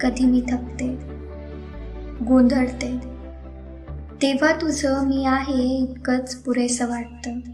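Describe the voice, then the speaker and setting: A woman speaks in a high voice with monotone, flat intonation. Music plays in the background. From Amravati, Maharashtra, India. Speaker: poet. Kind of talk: romantic poetry reading. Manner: soft, emotional.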